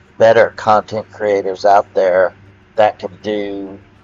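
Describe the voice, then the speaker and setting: A man speaks very slowly in a fairly low, flat monotone, with music playing in the background. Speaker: gaming video creator. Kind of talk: rant monologue. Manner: loud; halting, many fillers.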